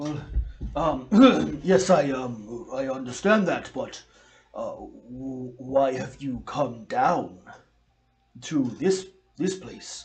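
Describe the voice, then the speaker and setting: Pausing long and often, a man speaks at a very slow pace in a put-on character voice of medium pitch. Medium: actual play. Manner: hesitant, apologetic.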